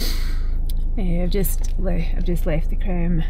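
Over noticeable background noise, a woman speaks at a fairly slow pace with a Scottish accent. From Scotland. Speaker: animal sanctuary owner. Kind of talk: casual talk to camera. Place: car. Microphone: phone near.

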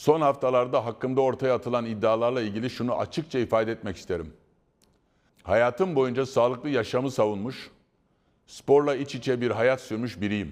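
Over a quiet background, a man speaks at medium pitch and a moderate pace with ordinary pitch variation. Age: 60s. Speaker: football club president. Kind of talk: prepared public statement. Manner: formal; calm.

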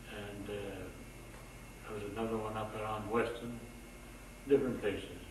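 Speaking at a moderate pace with long, frequent pauses, a man with a fairly low pitch keeps a monotone, flat intonation, with audible room echo and noticeable background noise. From Aegean Macedonia. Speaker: immigrant oral history interviewee. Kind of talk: interview answer. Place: office. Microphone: old recording.

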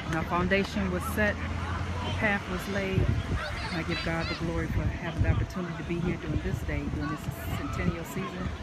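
Loud background noise runs under a woman's voice with an American accent. She speaks at a fairly quick pace, broken by long, frequent pauses. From US Midwest, Indiana. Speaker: minister. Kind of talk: fervent prayer, intercessory, pleading and devout, with a sermon-like cadence. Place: open country.

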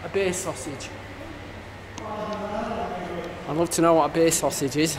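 A man's pitch varies in an ordinary way, with room echo clearly audible.

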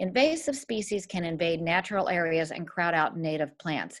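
An ordinary speaking voice at a fairly quick pace over a quiet background. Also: woman. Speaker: presenter. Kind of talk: lecture. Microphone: webcam.

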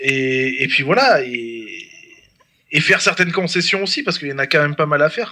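The speaker is a man. Pitch variation stays ordinary. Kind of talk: casual chat. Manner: halting.

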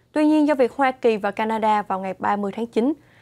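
A woman's fairly high voice at a moderate pace, with ordinary pitch variation over a quiet background. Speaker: news anchor. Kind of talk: news reading. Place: studio. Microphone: lapel.

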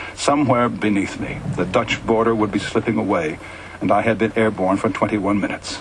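A man speaks at medium pitch and a fairly quick pace, with noticeable background noise behind him. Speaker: radio host. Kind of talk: story reading. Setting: radio broadcast.

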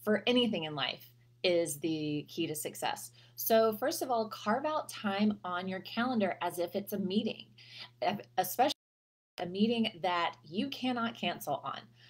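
At a moderate pace, a woman speaks with very wide pitch swings. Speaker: health coach. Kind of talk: casual advice vlog. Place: home room. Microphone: webcam.

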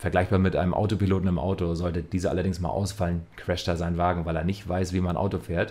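Talking very fast with hardly any pauses, a man delivers his words in a very deep, low pitch and a fairly even intonation. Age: 30s. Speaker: trading educator. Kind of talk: scripted narration. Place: home room. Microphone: studio mic.

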